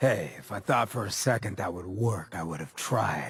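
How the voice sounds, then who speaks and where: A man puts on a raspy character voice with a fairly low pitch and a weary tone. He speaks at a moderate pace. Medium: machinima. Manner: wry, world-weary.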